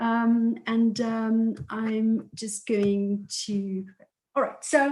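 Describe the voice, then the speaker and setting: This is a woman with a fairly high pitch. Her voice is somewhat breathy. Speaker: political science researcher. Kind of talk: academic presentation. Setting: video call webinar. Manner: hesitant, many fillers.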